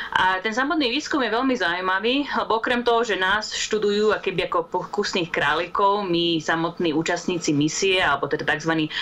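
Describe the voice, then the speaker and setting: Over noticeable background noise, a woman talks at a fairly quick pace and medium pitch, with lively intonation and very even loudness. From Slovakia. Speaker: astrobiologist. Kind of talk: interview.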